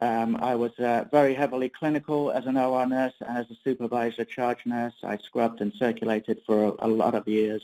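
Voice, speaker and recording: A man with an English accent talks at a medium pitch with a dark, mellow tone and fairly even intonation. His pace is fairly quick with hardly any pauses, and the sound is dry and close with no echo. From England. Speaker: perioperative nursing consultant. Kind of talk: webinar presentation. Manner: hesitant, many fillers.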